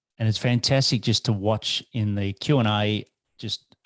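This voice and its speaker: With an Australian accent, a man speaks at a fairly low pitch with fairly even intonation. The sound is dry and close with no echo, over a quiet background. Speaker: business mentor and founder. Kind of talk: webinar presentation. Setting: video call webinar.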